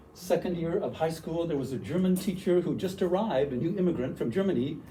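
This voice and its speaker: A man with a Canadian accent talks at a high pitch and a fairly quick pace, in a dark, mellow tone. His intonation is lively, with audible room echo. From western Canada, Vancouver. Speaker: university language teacher, workshop presenter. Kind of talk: workshop presentation. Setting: room with audience.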